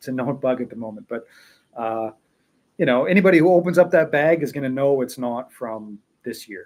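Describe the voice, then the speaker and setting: With a plain, everyday voice, a man speaks at a moderate pace and a medium pitch, using ordinary pitch variation. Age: 40s. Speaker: tea seller. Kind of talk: casual live stream chat. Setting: live stream at home. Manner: relaxed, many fillers and repetitions.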